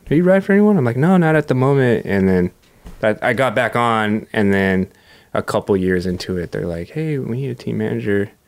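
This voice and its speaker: With an American accent, a man talks in a normal speaking voice at medium pitch, fairly quick and with lively intonation. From Southern California (Huntington Beach). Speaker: professional skateboarder. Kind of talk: casual interview chat.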